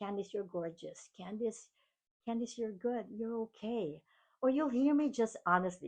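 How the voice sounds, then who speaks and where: Against a quiet background, a woman with a Filipino accent talks at a fairly slow pace in a fairly high pitch with ordinary pitch variation. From Philippines. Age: 50s. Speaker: keynote speaker and podcast host. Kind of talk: motivational monologue.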